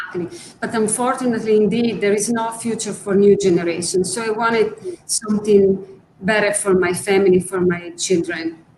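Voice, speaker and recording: There is noticeable background noise as a woman speaks with an Italian accent. Her voice is medium in pitch, fairly quick, and shows ordinary pitch variation. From Italy. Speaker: art conservator. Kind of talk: interview.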